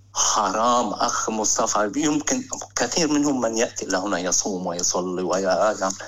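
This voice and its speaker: Noticeable background noise is audible throughout. Against it, a man talks at a moderate pace. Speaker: caller. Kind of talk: phone-in call about Muslims in the West. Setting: phone call.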